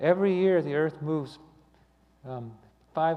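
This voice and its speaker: At a moderate pace, a man talks with audible room echo around him. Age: 60s. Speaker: lay speaker giving a talk on astronomy. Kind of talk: sermon. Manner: halting, many fillers and repeats.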